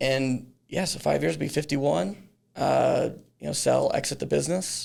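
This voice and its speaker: A man speaks with a slight Texan accent. His pace is moderate. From Texas, Dallas-Fort Worth area. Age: 40s. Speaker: business founder. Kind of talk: podcast interview. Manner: halting, many fillers and restarts.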